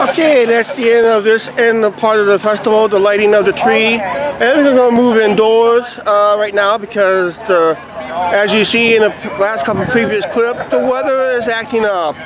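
Over noticeable background noise, the voice keeps a very even loudness, ordinary pitch variation and a moderate pace, with a dry sound that has no echo. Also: man, high pitch for a man. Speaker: vlogger. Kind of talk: casual vlog chat. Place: street. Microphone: phone near.

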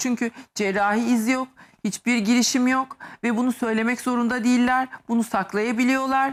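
An animated tone at a moderate pace, in a very clean recording with a silent background. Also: woman. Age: 50s. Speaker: medical aesthetics doctor. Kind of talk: TV talk show interview.

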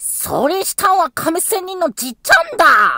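A man is speaking here. His pitch is extremely high and his pace is moderate. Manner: carefree, innocent.

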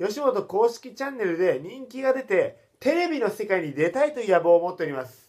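An animated man's voice, high-pitched, with very wide pitch swings at a moderate pace. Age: 20s. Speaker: comedian. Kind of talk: vlog monologue.

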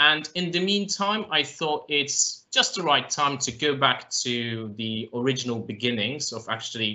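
The pace is fairly slow as a man speaks. He uses lively intonation. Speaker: guest. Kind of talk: interview answer. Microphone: video call.

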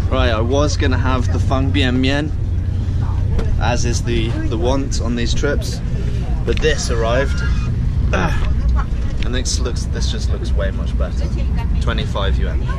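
A man at a fairly slow pace with long, frequent pauses and ordinary pitch variation, loud background noise around him. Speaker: traveller vlogger. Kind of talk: casual vlog chat. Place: train. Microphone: phone near.

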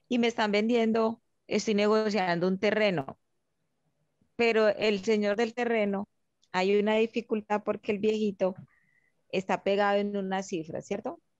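With fairly even intonation, a woman talks with long, frequent pauses in a dry sound with no echo and a quiet background. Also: fairly slow pace. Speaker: student participant. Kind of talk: question during online class. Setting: video call. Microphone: video call.

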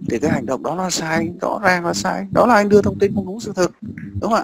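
The speech moves at a fairly quick pace with a slightly husky edge. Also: man.

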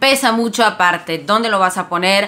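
A woman's voice with a bright, sharp tone. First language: not Spanish (speaking Spanish). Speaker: Spanish language content creator; language educator. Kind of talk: casual educational vlog; tutorial. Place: home room. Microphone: phone near.

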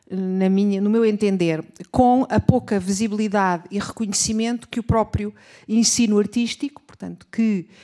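A dark, mellow tone carries fairly even intonation at a fairly slow pace over a quiet background. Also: woman. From Portugal. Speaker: teacher and researcher; teacher. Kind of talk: academic presentation. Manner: formal. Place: hall. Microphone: podium.

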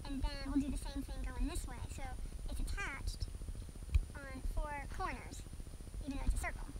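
Noticeable noise runs behind the speech. The speaker is a woman. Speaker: sewing instructor. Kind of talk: tutorial. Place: home room.

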